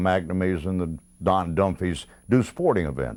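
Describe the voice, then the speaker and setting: With a Mississippi accent, a man speaks at a very deep, low pitch with ordinary pitch variation, in a very clean recording with a silent background. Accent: Southern US (Mississippi). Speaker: retired sports radio announcer. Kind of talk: interview reminiscence. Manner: halting, many fillers.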